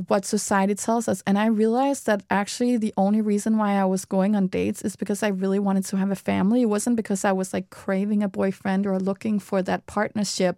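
The voice is dark and mellow, delivered at a very fast pace in a flat monotone with very even loudness and hardly any pauses, captured dry and close with no echo on a very clean recording with a silent background. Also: woman. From Denmark. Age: 30s. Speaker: PR agency co-founder and podcaster. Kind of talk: casual chat. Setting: studio.

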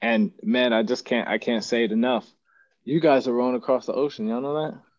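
Lively intonation marks this man's speech. He talks at a moderate pace in a medium pitch. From West Texas. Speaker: podcast host, serving airman. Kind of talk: interview.

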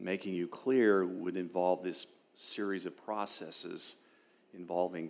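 Speaking at a fairly slow pace, a man uses a very deep, low voice. His intonation is fairly even. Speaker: retired military officer and law professor. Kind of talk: testimony in an interview.

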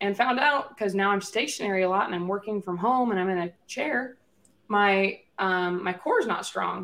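This woman has a plain, everyday voice at a medium pitch. She speaks at a moderate pace with ordinary pitch variation. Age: 20s. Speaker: podcast co-host. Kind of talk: casual chat.

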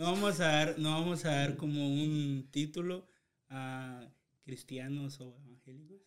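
A man speaks at a fairly slow pace in a fairly high pitch, his loudness swinging widely while his intonation stays fairly even. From Guatemala, Chiquimula. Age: 20s. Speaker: podcast co-host. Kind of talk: casual chat.

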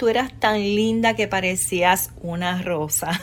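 A woman speaks over noticeable background noise. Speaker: podcast host. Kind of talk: personal storytelling.

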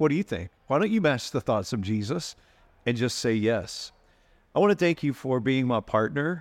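Against a quiet background, a man with a medium pitch and an unremarkable speaking voice talks at a moderate pace. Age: 50s. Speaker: pastor and podcast host. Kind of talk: casual chat with sermon-like passages.

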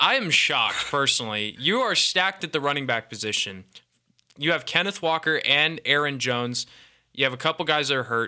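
In an American accent, a man with a plain, everyday voice speaks at a fairly quick pace with lively intonation. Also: fairly high pitch for a man. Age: 20s. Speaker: college radio sports host. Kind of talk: casual sports talk. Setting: studio.

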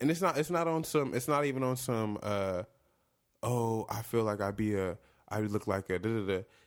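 A man's moderately paced speech has lively intonation. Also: very clean recording, silent background. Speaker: podcast host. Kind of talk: casual banter.

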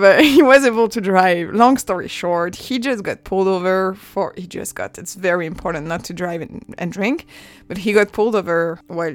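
She talks at a moderate pace in a medium pitch with ordinary pitch variation, big swings in loudness and hardly any pauses. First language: French. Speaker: podcast host. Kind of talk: personal monologue.

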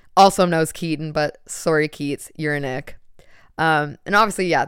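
In a very clean recording with a silent background, a woman speaks in an animated tone. Her pitch varies in an ordinary way at a moderate pace. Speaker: podcast host. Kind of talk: casual solo monologue. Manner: casual, profane, animated; loud talker.

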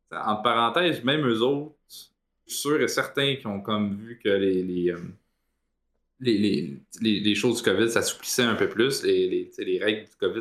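This man speaks with a Quebec accent. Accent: Québécois French. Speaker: esports panelist. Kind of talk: casual chat.

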